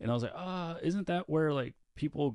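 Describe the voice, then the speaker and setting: The intonation of this man's voice is lively. He moves at a fairly quick pace. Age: 30s. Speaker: podcast co-host and producer. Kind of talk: casual interview chat. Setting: studio. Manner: animated.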